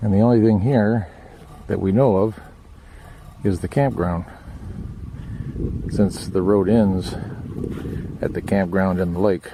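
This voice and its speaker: Noticeable background noise surrounds a man with a fairly low voice. He talks at a fairly slow pace with ordinary pitch variation and long, frequent pauses. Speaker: RV traveler. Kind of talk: casual on-location commentary. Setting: outdoors.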